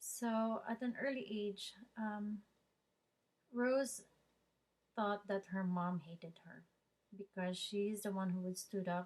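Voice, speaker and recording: A woman talks fairly slowly in a somewhat breathy voice. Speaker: student. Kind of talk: oral presentation. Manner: halting.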